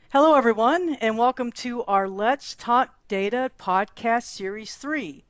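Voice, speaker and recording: In a Texan accent, a woman talks at a moderate pace with a fairly high pitch and ordinary pitch variation. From Texas. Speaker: podcast host. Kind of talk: podcast interview.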